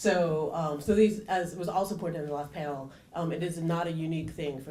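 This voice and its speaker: Someone talks at a fairly quick pace with ordinary pitch variation, amid noticeable background noise and audible room echo. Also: woman. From Canada. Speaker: engineering professor, panelist. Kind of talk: conference panel talk. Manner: many filler ums and repetitions.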